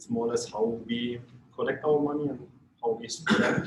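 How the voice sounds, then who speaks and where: With a German accent, a man talks at a fairly quick pace in a fairly high pitch, keeping his intonation fairly even. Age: 40s. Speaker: company executive and visiting Lions member. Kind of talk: self-introduction at club meeting. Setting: lunch meeting. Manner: halting, many fillers.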